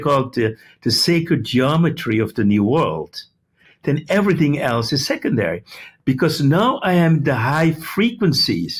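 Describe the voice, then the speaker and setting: Somewhat breathy and fairly high in pitch, a man talks at a moderate pace with lively intonation and very even loudness. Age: 70s. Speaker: medical doctor and healing speaker. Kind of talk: interview.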